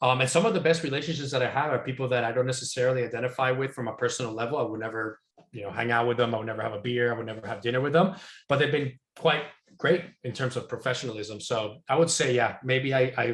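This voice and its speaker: The speaker is somewhat breathy and moves at a very fast pace. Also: man, medium pitch for a man, ordinary pitch variation. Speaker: software industry consultant. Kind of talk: Q&A talk. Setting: video call.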